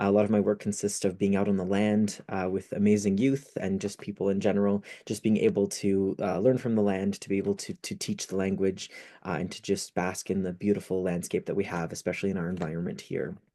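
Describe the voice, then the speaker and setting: A man speaks very fast in a fairly low, dark and mellow voice with flat, monotone intonation against a quiet background. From northern Ontario, Canada (French River area). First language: French. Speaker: youth speaker, poet and educator. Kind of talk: presentation talk.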